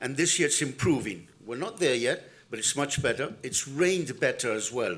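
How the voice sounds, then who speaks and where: With vocal fry and lively intonation, a man speaks at a fairly high pitch. Audible room echo surrounds him. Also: moderate pace. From Argentina. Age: 60s. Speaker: farm manager and keynote speaker. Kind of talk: conference keynote talk.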